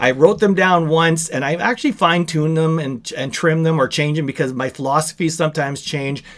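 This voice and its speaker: A man with a Canadian accent talks at a fairly quick pace and a fairly high pitch, with ordinary pitch variation and hardly any pauses. Noticeable background noise runs underneath. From Canada. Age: 60s. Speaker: retired investor and finance channel host. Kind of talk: presentation of investing strategy to camera. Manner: casual, with hesitations and repeated words.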